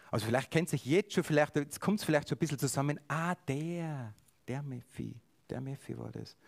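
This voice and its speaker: The man's pitch is fairly high, with ordinary variation. His pace is moderate. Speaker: preacher. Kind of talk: sermon.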